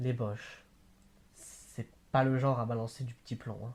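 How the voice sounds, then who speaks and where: This man's voice has a dark, mellow tone and is somewhat breathy, delivered at a fairly slow pace on a very clean recording with a silent background. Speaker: amateur reader. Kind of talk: novel read aloud. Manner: hesitant, with stumbles and repeats.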